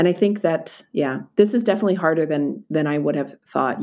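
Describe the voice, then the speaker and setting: A woman with a Philadelphia accent speaks at a very deep, low pitch with ordinary variation. The recording is very clean with a silent background. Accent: American (Philadelphia). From US, Philadelphia. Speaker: DEI expert and author. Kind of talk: interview. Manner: halting, repeats words.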